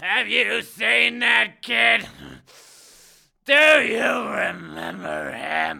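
A raspy man talks at a very slow pace and a medium pitch. He leaves long, frequent pauses. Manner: grouchy, self-pitying.

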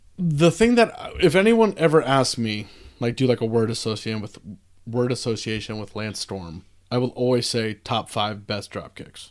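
A man's normal speaking voice, medium in pitch, at a moderate pace, with lively intonation and big swings in loudness. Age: 30s. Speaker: wrestling fan. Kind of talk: casual chat.

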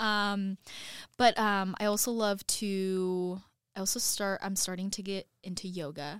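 A woman with a West Coast accent speaks at a fairly slow pace in a medium pitch, her intonation fairly even, on a very clean recording with a silent background. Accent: general American (West Coast). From US West Coast (Oregon). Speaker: TV news reporter. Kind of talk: casual interview.

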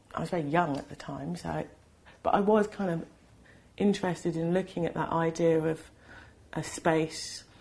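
With a London accent, a woman speaks at a moderate pace in a fairly low pitch, her intonation fairly even and broken by long, frequent pauses. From UK, London. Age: 40s. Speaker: artist. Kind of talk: casual interview conversation. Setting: artist's studio. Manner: halting, many fillers and restarts.

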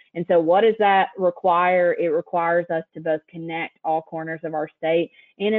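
A woman with an East Tennessee accent talks in a fairly low voice with fairly even intonation. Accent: Southern US (East Tennessee). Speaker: state broadband director. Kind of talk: presentation. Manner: frequent ums, casual.

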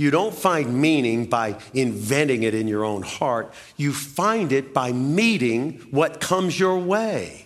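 A man's fairly high-pitched voice at a very slow pace, with very wide pitch swings and hardly any pauses. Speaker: pastor. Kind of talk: sermon. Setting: church; PA system. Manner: low-energy, not loud.

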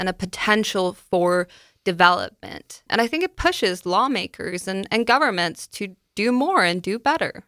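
Dry and close with no echo, the bright, sharp voice carries a Danish accent in a very clean recording with a silent background. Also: woman. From Denmark. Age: 20s. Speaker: university student. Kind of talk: radio interview. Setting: radio studio.

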